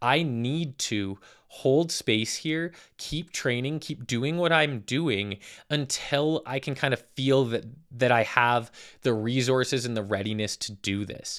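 In a Western Canadian accent, a man talks at a fairly slow pace with a medium pitch and ordinary pitch variation. The recording is very clean, with a silent background. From Calgary, Alberta, Canada. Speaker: fitness coach and podcast host. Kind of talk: casual monologue. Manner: casual, with frequent filler words.

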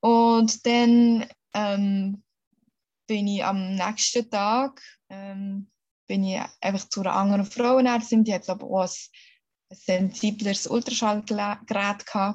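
A woman's medium-pitched, somewhat breathy voice in a flat monotone, at a very slow pace with long, frequent pauses. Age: 30s. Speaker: mother sharing birth story. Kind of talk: interview testimony. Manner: halting with many fillers.

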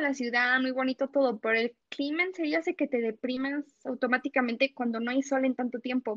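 Speaking at a moderate pace, a woman with a Mexican accent uses a high pitch. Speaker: former student abroad. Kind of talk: casual interview.

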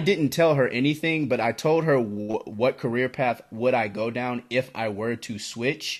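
Speaking at a fairly slow pace, a man uses a medium pitch with ordinary pitch variation. He leaves hardly any pauses. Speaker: college student. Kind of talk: casual chat.

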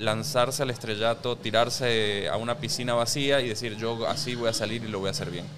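Medium-pitched male voice at a moderate pace, ordinary pitch variation, noticeable background noise. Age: 30s. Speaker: personal finance educator and podcaster. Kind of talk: casual interview chat. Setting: rooftop venue.

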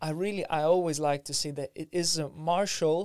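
A man with a Lithuanian accent speaks at a moderate pace in a high voice, his intonation fairly even. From Lithuania, Vilnius. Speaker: martial arts teacher and osteopath. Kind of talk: casual interview chat.

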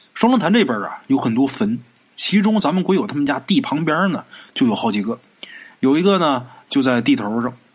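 Talking at a fairly quick pace, a man with a fairly high voice swings his pitch very widely. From Northeast China, Haicheng, Liaoning. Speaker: podcast storyteller. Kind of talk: storytelling narration. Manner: casual, conversational.

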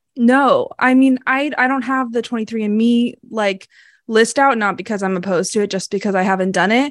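Someone with an American accent talks at a fairly quick pace with ordinary pitch variation over a quiet background. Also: woman, fairly high pitch for a woman. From US Northeast, Massachusetts. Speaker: podcast co-host. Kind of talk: storytelling narration; casual chat. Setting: video call.

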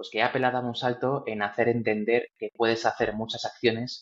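This is a man at a medium pitch. His intonation is monotone and flat. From Spain, Valladolid. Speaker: tech entrepreneur. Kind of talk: interview.

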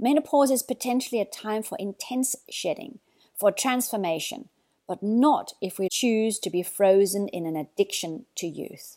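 A woman with an Australian accent, fairly high in pitch yet dark and mellow in tone, with lively intonation at a moderate pace, in a dry, close sound with no echo on a very clean recording with a silent background. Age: 60s. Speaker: mindfulness teacher. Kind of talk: reflective monologue.

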